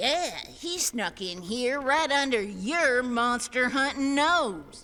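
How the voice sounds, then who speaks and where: A female-sounding voice, high-pitched, puts on a character voice at a very slow pace. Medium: audio drama. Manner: saccharine, sly.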